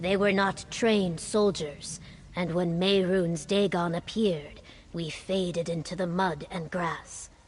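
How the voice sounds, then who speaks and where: A woman uses a put-on character voice at medium pitch, talking at a fairly slow pace over clear background noise. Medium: video game. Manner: formal.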